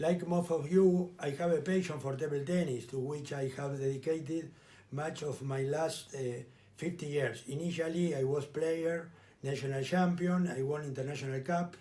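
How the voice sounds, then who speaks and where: A man's voice in a Spanish accent, with audible room echo. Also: fairly high pitch for a man, fairly even intonation, moderate pace. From Argentina. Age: 60s. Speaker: lawyer and election candidate. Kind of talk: campaign speech.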